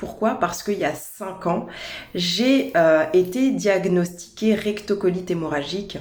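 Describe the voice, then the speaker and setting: Through noticeable background noise, a woman speaks at a fairly slow pace and a medium pitch. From France, Paris region. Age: 30s. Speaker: holistic naturopath. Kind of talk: personal introduction video. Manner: hesitant, with fillers and repetitions.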